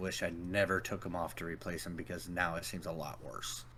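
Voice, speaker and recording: The man's voice is very deep and low, with a bright, sharp tone. He speaks quietly at a moderate pace. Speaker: tabletop role-playing game player. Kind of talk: casual chat.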